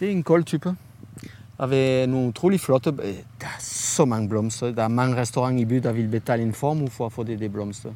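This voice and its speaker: A man with ordinary pitch variation speaks fairly quickly at a medium pitch. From France. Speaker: chef. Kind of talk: interview. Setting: outdoors. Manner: halting.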